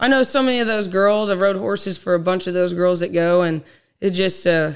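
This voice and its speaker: A woman with an American accent and an unremarkable speaking voice talks at a moderate pace, with medium pitch and ordinary pitch variation. The recording is very clean, with a silent background. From Oklahoma, Osage County. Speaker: ranch rodeo cowgirl. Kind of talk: casual interview.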